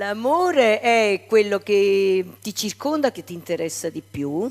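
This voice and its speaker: With music playing in the background, a woman talks at a very slow pace, her intonation lively and her loudness swinging widely. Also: medium pitch for a woman. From Naples, Italy. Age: 70s. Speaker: singer. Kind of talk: interview.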